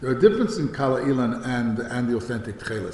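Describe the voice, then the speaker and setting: In an American accent, a man speaks at a very fast pace with audible room echo and noticeable background noise. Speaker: rabbi and yeshiva head. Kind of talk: lecture. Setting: talk at a synagogue study day. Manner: hesitant, many fillers and restarts.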